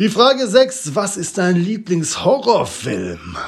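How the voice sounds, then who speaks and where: Echo from the room can be heard. The man's delivery is very slow. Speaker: podcaster. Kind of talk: casual monologue. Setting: bathroom at home.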